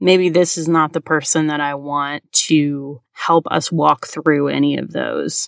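Recorded very cleanly against a silent background, a woman speaks at a fairly slow pace with hardly any pauses, in a dry, close sound with no echo. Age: 40s. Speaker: counselor and podcast host. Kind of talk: solo educational podcast monologue.

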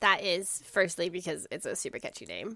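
With a Canadian accent, this voice talks at a fairly quick pace and has vocal fry. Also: woman. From Canada. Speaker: podcast host and doctoral researcher in history of medicine. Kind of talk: casual chat.

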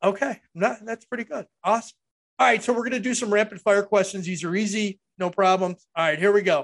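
At a fairly quick pace, a man speaks with a high pitch and fairly even intonation, the sound dry and close with no echo. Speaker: podcast host. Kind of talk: interview.

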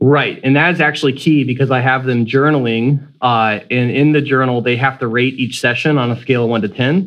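With an American accent, a man speaks in an unremarkable speaking voice at a fairly quick pace with hardly any pauses, medium pitch and fairly even intonation. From Florida, US (Sanford, near Orlando). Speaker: music professor, trumpet player. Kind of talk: casual interview conversation.

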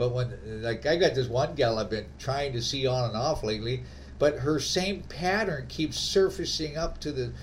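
An unremarkable speaking voice, a man at medium pitch with lively intonation. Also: moderate pace. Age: 60s. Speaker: podcast host. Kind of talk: casual chat. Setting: remote call.

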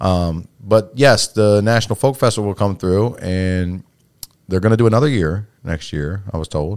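Ordinary pitch variation comes with an American accent in this voice. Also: man, fairly low pitch for a man. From US, Salisbury, Maryland (Eastern Shore). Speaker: podcast host and fight gym owner/coach. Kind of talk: casual chat. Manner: fast-paced, repetitive halting starts.

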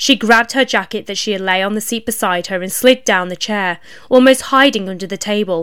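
The passage is read aloud plainly. Its pitch moves in a typical way.

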